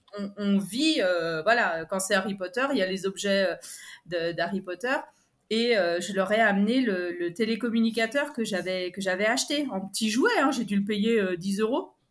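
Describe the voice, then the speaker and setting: A woman uses a normal speaking voice at medium pitch, moderate pace and ordinary pitch variation. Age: 40s. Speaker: primary school teacher. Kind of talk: casual interview.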